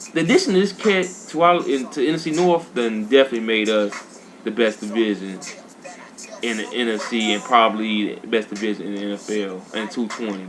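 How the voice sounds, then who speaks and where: Noticeable background noise fills the recording. The voice belongs to a man. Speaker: video game streamer. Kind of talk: casual gaming commentary. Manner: fast; animated.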